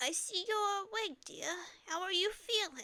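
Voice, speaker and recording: A woman puts on a character voice at an extremely high pitch and speaks at a fairly slow pace. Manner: slow, kind.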